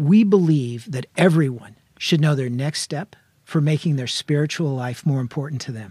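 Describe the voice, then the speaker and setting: A man speaks at a moderate pace in a fairly high, somewhat breathy voice with a dark, mellow tone. His pitch variation is ordinary while his loudness swings a lot. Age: 60s. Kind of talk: casual chat.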